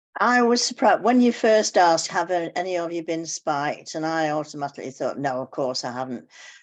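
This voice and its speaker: Against a quiet background, a woman with an English accent talks at a fairly quick pace with hardly any pauses, her fairly low voice making very wide pitch swings. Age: 80s+. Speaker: club member. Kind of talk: casual chat.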